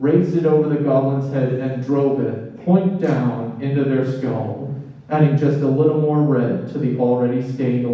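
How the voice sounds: Fairly even intonation in a natural reading voice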